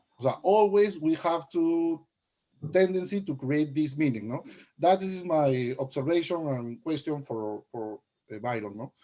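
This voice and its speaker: Dark, mellow tone from a man with a Latin American accent, fairly high in pitch, lively in intonation and fairly slow in pace. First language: Spanish. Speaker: graduate student. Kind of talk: audience question. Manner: halting, hesitant.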